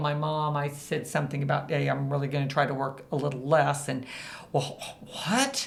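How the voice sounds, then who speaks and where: Amid audible room echo, a woman with a Midwestern American accent and a very deep, low pitch speaks at a fairly quick pace with fairly even intonation. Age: 60s. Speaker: business founder and CEO. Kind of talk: podcast interview. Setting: recording studio at a co-working space.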